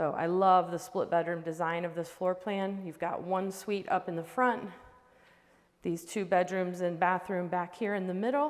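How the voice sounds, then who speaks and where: A woman speaks at a medium pitch. Her pace is moderate. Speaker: real estate agent. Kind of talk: home tour walkthrough. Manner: animated.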